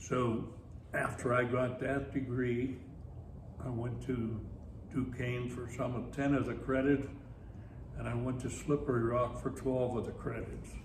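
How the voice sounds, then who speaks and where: With a Pittsburgh accent, a man at medium pitch speaks at a fairly slow pace in a monotone, flat intonation, leaving long, frequent pauses. Audible room echo and noticeable background noise are present. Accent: western Pennsylvania (Pittsburgh). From Pittsburgh, western Pennsylvania. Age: 90s. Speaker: retired teacher and army veteran. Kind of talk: oral history interview.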